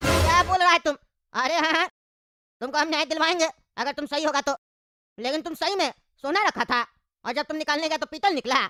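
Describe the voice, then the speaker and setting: A cartoonish character voice, high-pitched and very fast, broken by long, frequent pauses. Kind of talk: comic cartoon bickering. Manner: brash, scolding, colloquial.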